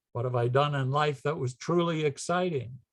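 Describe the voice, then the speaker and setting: Against a quiet background, a man speaks at a fairly high pitch in a somewhat breathy voice. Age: 80s+. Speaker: philatelic society director and lecturer. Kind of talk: lecture. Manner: halting.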